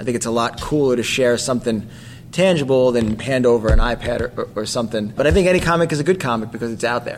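A man with an American accent talks at a very fast pace and medium pitch. His pitch varies in an ordinary way, with noticeable background noise behind him. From New Jersey. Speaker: comic book artist. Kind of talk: casual chat.

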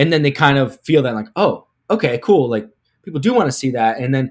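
Over a very clean recording with a silent background, a man with an American accent and a plain, everyday voice talks at a fairly quick pace and medium pitch. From Pittsburgh, US. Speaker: sports marketing executive. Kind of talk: interview. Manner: filler-heavy, repetitive.

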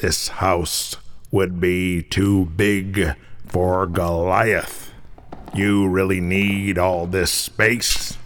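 In a put-on character voice, a man speaks very slowly at a very deep, low pitch, with monotone, flat intonation and very even loudness. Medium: audio drama. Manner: gruff, blunt.

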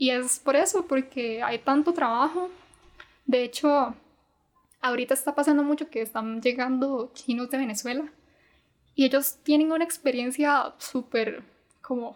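The pace is fairly slow, with long, frequent pauses. Pitch varies in an ordinary way. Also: woman, high pitch for a woman. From Costa Rica. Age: 20s. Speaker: university student and Mandarin tutor. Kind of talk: casual interview.

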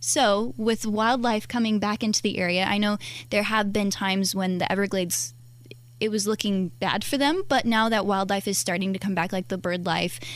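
A woman's unremarkable speaking voice, medium in pitch, at a moderate pace. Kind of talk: casual radio chat. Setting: radio studio.

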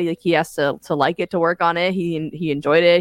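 A woman in a plain, everyday voice with an American accent, fairly low in pitch and fairly quick, with fairly even intonation, on a very clean recording with a silent background and a dry, close sound with no echo. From New Jersey Shore, US. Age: 20s. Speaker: musician. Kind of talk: casual chat.

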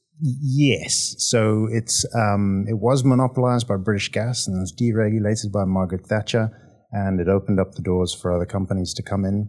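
A man talks at a fairly quick clip with a Zimbabwean accent. His intonation stays fairly even. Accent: Zimbabwean (Rhodesian). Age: 30s. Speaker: oilfield compliance manager. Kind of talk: interview.

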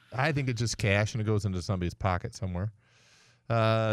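This man has an ordinary speaking voice, medium in pitch with ordinary pitch variation. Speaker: radio host and mechanic. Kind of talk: casual call-in radio show. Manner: conversational, bantering.

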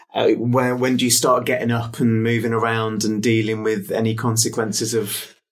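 In an English accent, a man with a medium-pitched voice speaks at a moderate pace amid audible room echo. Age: 40s. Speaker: podcast interviewer and cancer patient. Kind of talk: interview.

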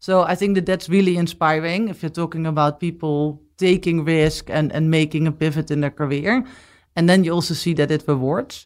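Recorded very cleanly against a silent background, a woman talks at a fairly quick pace, her voice fairly low and her intonation fairly even. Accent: Dutch. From Netherlands. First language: Dutch. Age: 40s. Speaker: business executive. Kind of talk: interview.

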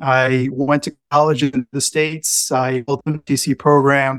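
A man's medium-pitched, monotone voice with flat intonation, in a dry, close sound with no echo. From Puerto Rico. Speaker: Navy veteran and pilot. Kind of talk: casual interview chat.

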